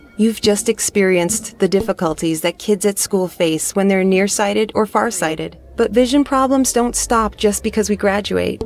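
A woman speaks at a moderate pace with hardly any pauses, her medium pitch showing ordinary variation and her loudness staying very even. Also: dry sound with no echo. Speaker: voice actor. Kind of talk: VR narration. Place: studio. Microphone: studio mic.

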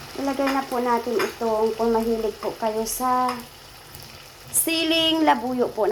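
Over noticeable background noise, a woman with a high pitch and lively intonation speaks at a fairly slow pace. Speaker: cooking vlogger. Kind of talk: cooking tutorial. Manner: casual, chatty.

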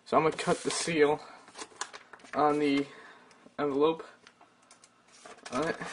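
Long, frequent pauses break up moderately paced speech, with noticeable background noise present. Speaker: YouTuber. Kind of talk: unboxing video. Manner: casual, hesitant with fillers.

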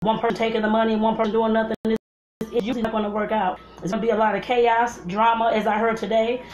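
Over faint background music and audible room echo, a woman speaks very fast in a flat monotone. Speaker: home cooking vlogger. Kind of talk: casual vlog chat. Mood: earnest advice. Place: kitchen. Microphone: phone near.

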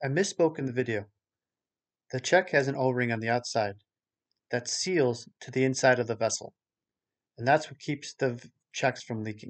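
Pausing long and often, a man speaks at a moderate pace with ordinary pitch variation and big swings in loudness against a quiet background. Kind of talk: tutorial. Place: workshop.

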